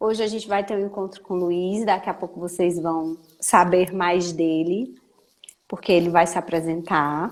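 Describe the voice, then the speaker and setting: A woman speaking at a fairly slow pace. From Brazil. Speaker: talk show co-host. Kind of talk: show introduction.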